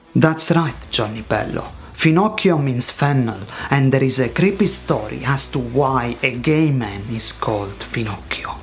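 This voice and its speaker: Someone talks at a fairly slow pace amid noticeable background noise. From Italy. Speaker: language teacher. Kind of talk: tutorial. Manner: animated.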